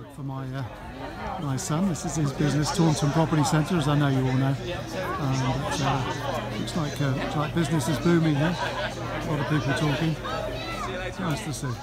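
Loud music plays behind a man who speaks at a moderate pace with long, frequent pauses, the sound dry and without echo. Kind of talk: casual vlog chat. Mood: cheerful, chatty. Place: street. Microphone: phone near.

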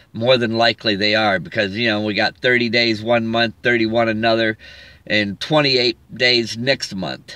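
A man's fairly even intonation in a dry sound with no echo. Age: 50s. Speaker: evangelist vlogger; religious vlogger. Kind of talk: religious monologue. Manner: halting. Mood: earnest, preachy. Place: car. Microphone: phone near.

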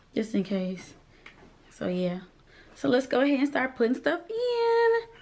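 A woman speaks with a slight country accent. Her pace is fairly slow. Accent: slight country twang. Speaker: vlogger. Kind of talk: casual chat. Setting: at home, ring light. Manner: animated.

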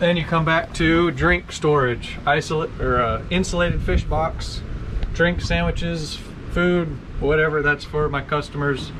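Man at a moderate pace over noticeable background noise. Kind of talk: casual boat walkthrough tour. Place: boat.

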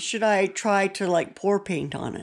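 A woman talks at a fairly slow pace in a medium pitch. Her pitch varies in an ordinary way.

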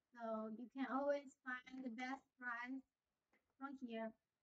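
A woman speaks at a high pitch and a fairly slow pace. Her intonation stays fairly even over a quiet background. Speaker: factory sales representative. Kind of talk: sales pitch. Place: office. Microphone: lapel.

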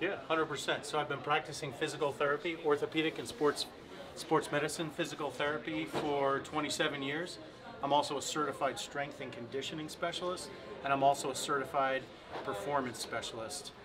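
Noticeable background noise lies behind a man who talks at a moderate pace. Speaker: guest. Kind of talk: interview answer. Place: home room.

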